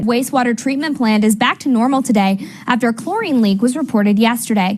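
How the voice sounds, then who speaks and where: Speaking at a very fast pace, a woman keeps her intonation fairly even. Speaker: TV news reporter and anchor. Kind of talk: TV news anchor read.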